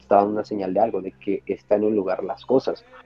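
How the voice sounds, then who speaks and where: A man is speaking. Music plays in the background. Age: 20s. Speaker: optometry student and storyteller. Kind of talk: storytelling interview. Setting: live stream.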